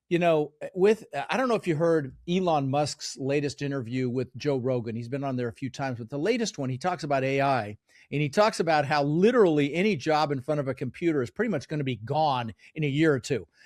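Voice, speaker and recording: The recording is very clean, with a silent background. A man talks at a very fast pace and a fairly high pitch with lively intonation. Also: dry, close sound with no echo. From Netherlands, raised in US from age 6. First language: Dutch. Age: 60s. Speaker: real estate investor and mentor. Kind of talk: podcast interview.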